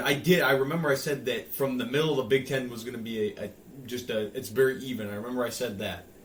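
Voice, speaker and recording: Very fast speech with a Michigan accent and audible room echo. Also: man. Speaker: sports podcast co-host. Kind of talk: casual chat.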